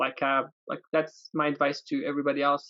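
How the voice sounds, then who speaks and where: A man with an Arabic accent, speaking at a moderate pace. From Yemen. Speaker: aerospace test engineer. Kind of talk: interview. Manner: hesitant, many fillers.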